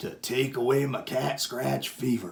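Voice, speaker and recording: Using a put-on character voice, a man sounds gruff, rumbling and growling at medium pitch, with a moderate pace and fairly even intonation. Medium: read story. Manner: gruff, grumbling.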